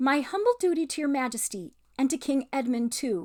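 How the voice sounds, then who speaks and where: A woman puts on a shrill character voice, pitched high and delivered at a moderate pace. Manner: gallant, formal.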